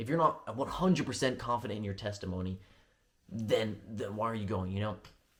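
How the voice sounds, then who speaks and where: Somewhat breathy and fairly low-pitched, a man speaks at a fairly quick pace with ordinary pitch variation. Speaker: vlogger preparing for a church mission. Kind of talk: testimony vlog. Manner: fast; rambling with frequent fillers.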